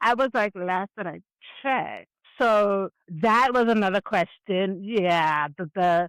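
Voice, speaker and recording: A woman's very slow speech at medium pitch with ordinary pitch variation, on a very clean recording with a silent background. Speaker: hard of hearing advocate with a cochlear implant. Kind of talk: interview, personal testimony. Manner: professional, proper speech; hesitant, with fillers.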